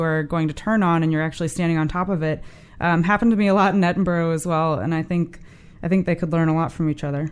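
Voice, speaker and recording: In a very clean recording with a silent background, a woman with an American accent uses an unremarkable speaking voice, fairly low in pitch with fairly even intonation. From US Midwest, St. Louis. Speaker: transportation planner. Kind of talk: interview.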